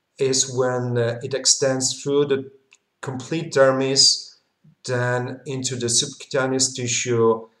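Talking at a very slow pace, a man is heard with audible room echo over a quiet background. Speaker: medical lecturer. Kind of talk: lecture. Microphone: webcam.

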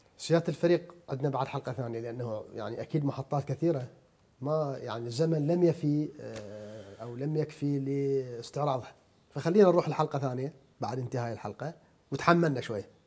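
A man with a fairly high pitch talks at a moderate pace, his loudness swinging widely. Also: ordinary pitch variation. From Iraq. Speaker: TV interviewer. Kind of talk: interview. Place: home room.

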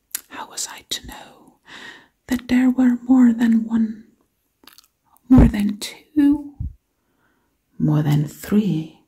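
A woman whispers in a soft-spoken, breathy voice at a very slow pace, with long, frequent pauses and big swings in loudness. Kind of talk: ASMR whispering roleplay. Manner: breathy whisper, soft-spoken.

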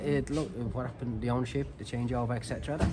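A man speaks over noticeable background noise. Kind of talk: interview answer. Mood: disappointed, firm. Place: stadium. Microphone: handheld.

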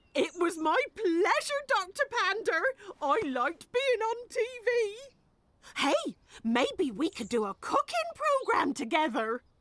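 In a cartoonish character voice, the speaker goes extremely high, swinging pitch very widely at a fairly slow pace. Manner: warm, folksy, matter-of-fact.

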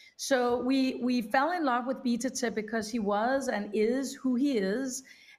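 A woman with a Danish accent speaks at a fairly high pitch with ordinary pitch variation. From Denmark. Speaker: documentary film producer; panelist. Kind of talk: panel discussion. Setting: remote video link. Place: home room.

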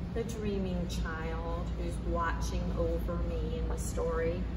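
Loud background noise runs through the clip. Over it, a woman talks. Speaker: library storyteller. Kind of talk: children's story reading. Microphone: camera far.

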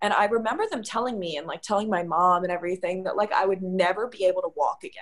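Over a quiet background, a woman talks at a very fast pace. Her pitch variation is ordinary. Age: 20s. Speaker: podcast co-host, mind coach. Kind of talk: casual chat. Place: home room. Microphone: video call.

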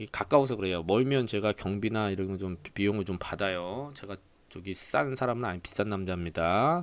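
Fairly low in pitch, a man speaks with an unremarkable speaking voice and ordinary pitch variation. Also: very clean recording, silent background. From Jeolla province, South Korea. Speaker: insurance claims adjuster. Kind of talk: casual lecture. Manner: chatty, filler-heavy.

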